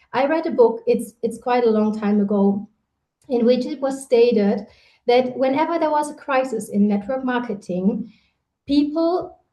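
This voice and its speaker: A woman's high-pitched voice with a German accent, a dark, mellow tone, ordinary pitch variation and a moderate pace. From Germany. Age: 30s. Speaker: network marketing leader. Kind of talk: motivational talk. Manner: animated.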